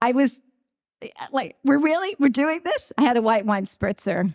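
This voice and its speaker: A woman in a Long Island accent, animated in tone, with very wide pitch swings and a dry, close sound with no echo. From Long Island, New York. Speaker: radio and TV news reporter. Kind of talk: award acceptance speech. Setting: stage with audience.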